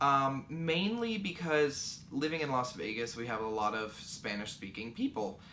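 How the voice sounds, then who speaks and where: A man speaks with lively intonation. Audible room echo and noticeable background noise surround him. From Kentucky. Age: 20s. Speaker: knitting podcaster. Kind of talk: casual Q&A podcast.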